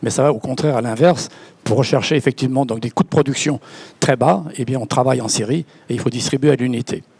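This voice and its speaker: A man talks at a very fast pace, his pitch medium and his intonation fairly even. The sound is dry and close with no echo, and there is noticeable background noise. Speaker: company founder. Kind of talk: panel discussion. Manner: halting, repeats words.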